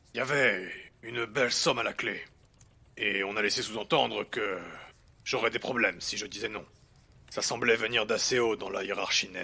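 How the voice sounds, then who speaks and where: A man puts on a character voice, pitched in the medium range, keeping a moderate pace broken by long, frequent pauses. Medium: audio drama. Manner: terse, guarded, reluctant.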